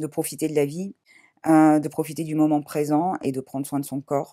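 Against a quiet background, a woman speaks in a very deep, low voice with a dark, mellow tone. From Paris, France. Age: 40s. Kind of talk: testimony. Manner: hesitant, many fillers. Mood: calm, reflective, emotional topic. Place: home room.

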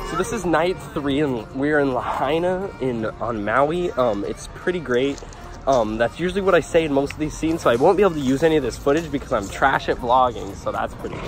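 A man talking at a fairly quick pace, dry with no echo, clear music in the background. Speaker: vlogger. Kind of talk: casual vlog chat. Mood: playful, joking. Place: waterside. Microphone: phone near.

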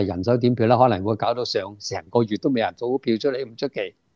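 A man with a Hong Kong accent speaks at a moderate pace in a dark, mellow tone, with ordinary pitch variation. The sound is dry with no echo, over a quiet background. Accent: Hong Kong Cantonese. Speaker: political commentator guest. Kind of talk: political commentary discussion; interview answer. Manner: many hesitation fillers. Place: home room. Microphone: earbuds.

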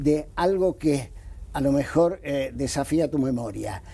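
A man's fairly high voice with a dark, mellow tone, lively intonation and a fairly slow pace. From Argentina. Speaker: anti-corruption lawyer. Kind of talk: TV interview. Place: studio. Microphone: lapel.

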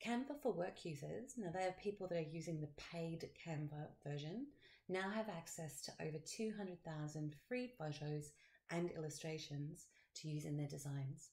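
A woman speaks at a very deep, low pitch with a dark, mellow, somewhat breathy tone. Her delivery is upbeat, at a moderate pace with ordinary pitch variation. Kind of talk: software tutorial screencast. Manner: casual, upbeat.

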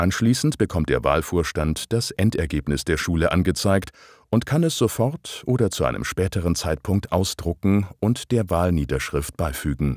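Vocal fry and very even loudness come through at a moderate pace on a very clean recording with a silent background and a dry, close sound with no echo. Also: man, very deep, low pitch for a man. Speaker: narrator of a training video. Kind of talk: scripted narration. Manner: formal.

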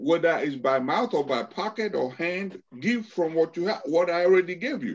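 The intonation is lively. A man talks at a moderate pace. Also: fairly high pitch for a man.

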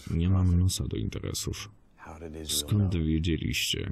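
A man talks at a fairly slow pace in a very deep, low voice. His delivery is somewhat breathy. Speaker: voice-over translator. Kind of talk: film voice-over translation.

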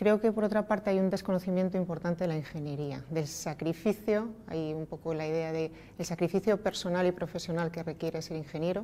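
A woman speaks with a dark, mellow tone at a fairly low pitch. Her intonation stays fairly even. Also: fairly quick pace, hardly any pauses. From Spain, Asturias (Oviedo); Asturias, Spain. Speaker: energy company executive. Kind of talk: interview. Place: meeting room.

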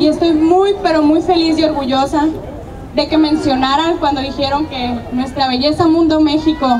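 Over noticeable background noise, a woman with a high pitch for a woman talks at a moderate pace with fairly even intonation. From Mexico, Sonora (Navojoa). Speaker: beauty pageant winner. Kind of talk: public address to crowd. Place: street. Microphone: handheld.

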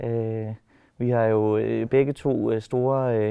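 Here a man speaks with fairly even intonation. The background stays quiet. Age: 30s. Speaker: animator and personal assistant. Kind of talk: casual interview. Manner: hesitant, many filler words. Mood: relaxed, smiling. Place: hall.

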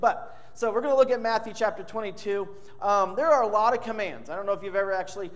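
A man speaks at a very fast pace. His pitch is high, with ordinary variation. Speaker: preacher. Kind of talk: sermon. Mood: warm, lightly humorous. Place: church. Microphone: podium.

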